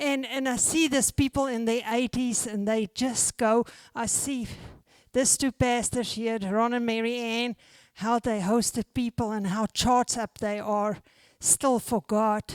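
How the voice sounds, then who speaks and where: A woman with a normal speaking voice and fairly high pitch talks at a fairly slow pace with fairly even intonation, in a dry, close sound with no echo on a very clean recording with a silent background. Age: 60s. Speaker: pastor. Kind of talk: sermon.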